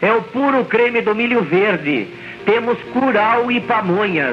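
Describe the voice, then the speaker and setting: A man's raised, projected voice, high in pitch with ordinary variation, over light background noise. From interior of São Paulo state, Brazil. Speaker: street food vendor. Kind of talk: street vendor loudspeaker announcement. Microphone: old recording.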